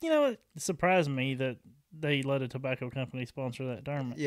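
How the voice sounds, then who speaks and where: A man speaks with a Southern accent at a fairly high pitch. His pace is fairly quick. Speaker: podcast host.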